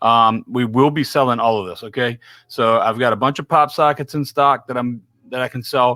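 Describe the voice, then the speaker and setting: A man's bright, sharp voice with a Louisiana accent, medium in pitch with ordinary pitch variation and a moderate pace, in a dry, close recording with no echo, very clean against a silent background. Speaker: podcast host. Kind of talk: casual live chat. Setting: live stream.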